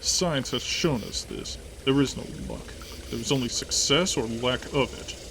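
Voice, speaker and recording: Over clear background noise, a man puts on a gruff character voice at a moderate pace. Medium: read story. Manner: gruff, blunt.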